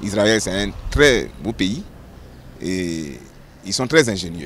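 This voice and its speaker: Lively intonation rides on this man's very deep, low pitch. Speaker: pastor. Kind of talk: testimony.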